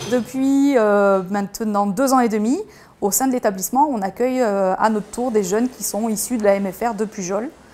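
A woman's fairly high voice with a dark, mellow tone, ordinary pitch variation and a moderate pace. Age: 40s. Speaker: restaurant owner. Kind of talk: interview testimony. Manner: hesitant, with fillers and repetitions.

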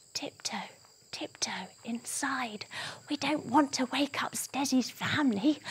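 A woman whispers quietly. Her pace is fairly slow. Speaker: children's yoga storyteller. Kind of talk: children's story narration with movement cues. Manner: hushed, exaggerated stage whisper. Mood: hushed, playful, exaggerated.

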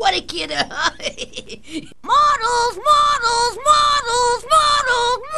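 Doing a cartoonish character voice at an extremely high pitch, a woman speaks at a very slow pace with hardly any pauses over clear background noise. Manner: brash, excitable.

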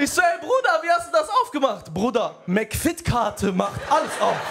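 Very wide pitch swings at a moderate pace over noticeable background noise. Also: man. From Germany, Aachen; Germany. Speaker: stand-up comedian. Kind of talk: stand-up. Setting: stage with audience. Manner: animated. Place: stage. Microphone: handheld.

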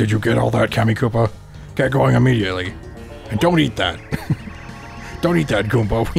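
In a put-on character voice that sounds strained, the speaker talks at a fairly quick pace with very even loudness and long, frequent pauses, with clear music in the background. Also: man, fairly low pitch for a man. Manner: bossy, commanding.

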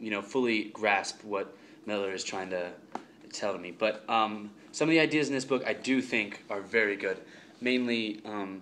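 An unremarkable speaking voice from a man, fairly low in pitch, at a moderate pace with ordinary pitch variation and light background noise. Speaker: student reviewing a book. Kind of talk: casual vlog chat. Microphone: phone near.

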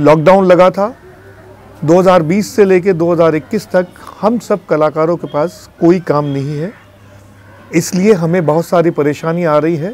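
At a fairly slow pace and with ordinary pitch variation, the speech has a dry sound with no echo. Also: man. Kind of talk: interview appeal. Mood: earnest pleading request. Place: studio.

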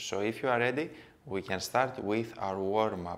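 A man speaks at a moderate pace in a plain, everyday voice. His intonation stays fairly even. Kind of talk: tutorial. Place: empty room.

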